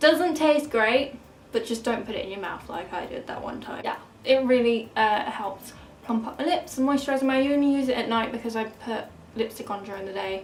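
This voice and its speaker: A woman with an English accent, fairly high in pitch, at a fairly quick pace, with ordinary pitch variation and big swings in loudness, amid audible room echo and noticeable background noise. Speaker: beauty vlogger. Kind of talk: casual product review. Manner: fast.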